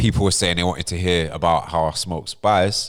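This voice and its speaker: A man speaks with a London accent. His pace is moderate. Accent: London accent (MLE). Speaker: podcast host. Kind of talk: casual storytelling chat.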